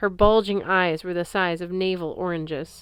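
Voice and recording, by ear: The text is being read aloud in a natural voice.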